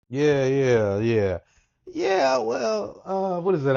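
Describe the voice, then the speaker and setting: A man with a Mississippi accent, fairly slow and with lively intonation. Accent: Southern US (Mississippi). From US South, Natchez, Mississippi. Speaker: author and educator. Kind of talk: interview conversation.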